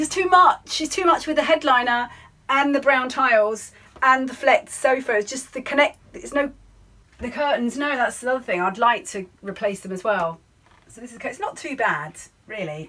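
Big swings in loudness mark a woman's voice. Her pitch is high and her pace moderate. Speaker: sailing vlogger. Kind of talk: casual vlog chat. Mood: cheerful, chatty. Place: boat. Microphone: phone near.

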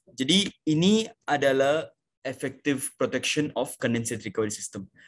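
The speech is fairly slow with lively intonation, and there is light background noise. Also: man. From India. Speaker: sales manager presenting a seminar. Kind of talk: online technical sales presentation. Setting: online video seminar. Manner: halting, many fillers. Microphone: video call.

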